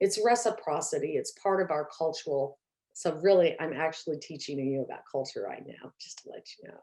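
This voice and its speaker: Her loudness swings a lot as a woman talks at a fairly quick pace. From rural Oklahoma, near Tulsa. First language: Muscogee (Creek). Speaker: professor. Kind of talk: lecture. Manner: halting, many fillers.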